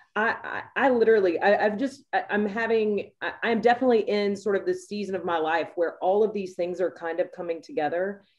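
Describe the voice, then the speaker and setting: A woman speaks in a plain, everyday voice at a medium pitch, moving at a fairly quick pace with ordinary pitch variation and hardly any pauses. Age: 30s. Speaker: sports executive panelist. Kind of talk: panel discussion. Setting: video call.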